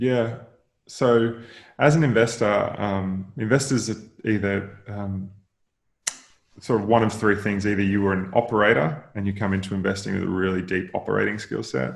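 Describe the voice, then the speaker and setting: In an Australian accent, a man speaks at fairly low pitch with ordinary pitch variation and a moderate pace. Audible room echo surrounds his voice. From Australia, rural Queensland. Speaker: venture capital investor. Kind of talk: podcast interview. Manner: hesitant, many fillers and repeats.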